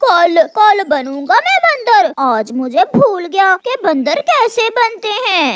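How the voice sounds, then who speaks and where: A cartoonish character voice speaks at an extremely high pitch with very wide pitch swings. The pace is very slow, with hardly any pauses. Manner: pushy, self-serving.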